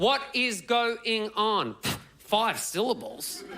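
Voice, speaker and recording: A man's raised, projected voice, high in pitch, with an Australian accent. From Australia, Melbourne. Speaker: comedian. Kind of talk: stand-up. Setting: stage with audience.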